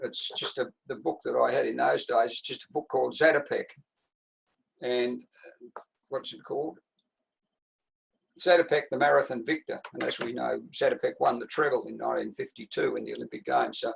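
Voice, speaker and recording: A man with an Australian accent, long, frequent pauses and big swings in loudness. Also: fairly quick pace. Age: 80s+. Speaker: retired distance runner and coach. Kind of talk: interview answer.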